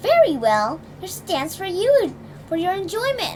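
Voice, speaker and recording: In a put-on character voice, a woman speaks soft-spoken at an extremely high pitch with very wide pitch swings and a moderate pace, over clear background noise. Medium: read story.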